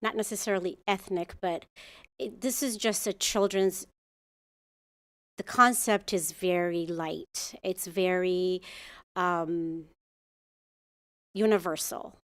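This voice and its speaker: In a very clean recording with a silent background, a woman speaks very slowly at a medium pitch, her intonation fairly even and her pauses long and frequent. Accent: Ethiopian. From Ethiopia. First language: Amharic. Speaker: muralist artist. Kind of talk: public comment at city commission meeting. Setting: council chamber. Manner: halting, with fillers and restarts.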